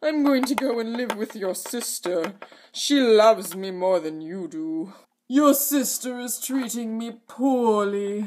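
At a fairly slow pace, a man talks with a high pitch. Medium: comedy sketch. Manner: whiny, indignant.

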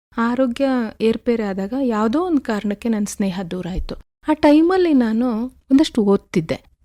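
A woman talks with lively intonation in a fairly high voice with a dark, mellow tone. The sound is dry and close with no echo, on a very clean recording with a silent background. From Karnataka, Alur taluk, Hassan district. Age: 50s. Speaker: poet and coffee farmer. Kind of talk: radio interview. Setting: radio studio.

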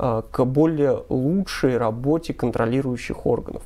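Speaking at a moderate pace, a man has a dark, mellow tone. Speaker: TV news presenter. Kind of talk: commentary. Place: studio. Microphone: lapel.

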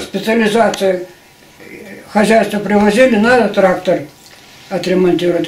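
With audible room echo, a man with a high pitch speaks at a moderate pace in a monotone, flat intonation. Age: 80s+. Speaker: retired agricultural machinery engineer. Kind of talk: interview answer. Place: home room. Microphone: camera far.

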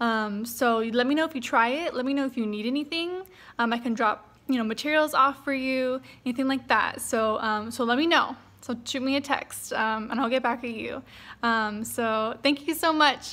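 A woman speaks in a high pitch with a bright, sharp tone. Her pace is moderate and her pitch variation ordinary. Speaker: therapist or teacher addressing parents. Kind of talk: casual tutorial message to parents. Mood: friendly, upbeat. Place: home room. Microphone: phone near.

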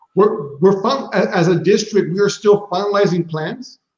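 At a moderate pace, a man talks over a quiet background, with audible room echo around his voice. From San Antonio, Texas; Texas. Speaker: high school principal. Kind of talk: casual interview. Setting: video call. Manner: repetitive, halting. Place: home room. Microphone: video call.

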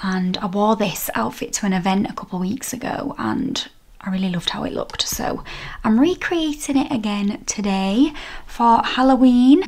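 The voice has a northern English accent. It moves at a moderate pace with lively intonation. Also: woman, fairly high pitch for a woman. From northern England. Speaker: fashion vlogger. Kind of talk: casual vlog. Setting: at home, on video. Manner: chatty, friendly. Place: home room. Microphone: phone near.

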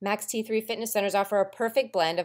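Recorded very cleanly against a silent background, a woman talks at a fairly quick pace in an ordinary speaking voice. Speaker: promotional narrator for a fitness program. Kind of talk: infomercial-style scripted promo narration. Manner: upbeat, hard-selling motivational delivery; punchy, rhythmic list-driven pitch.

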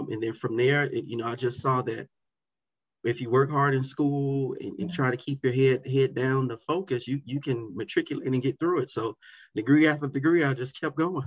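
With an American accent, a man talks at medium pitch and a moderate pace with fairly even intonation. His voice is somewhat breathy, and the background is quiet. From South Florida. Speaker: educator and community advocate; guest. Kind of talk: interview. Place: home room. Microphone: webcam.

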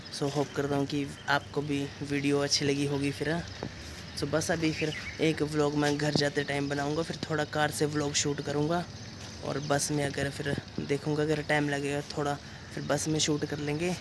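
Over noticeable background noise, a man talks at a fairly slow pace in a monotone, flat intonation. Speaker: travel vlogger. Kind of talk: casual vlog chat. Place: street. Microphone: phone near.

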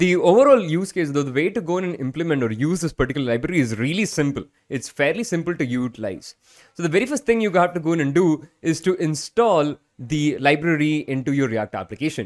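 Against a quiet background, a man speaks at a very fast pace. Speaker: programming tutor. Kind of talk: tutorial. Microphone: studio mic.

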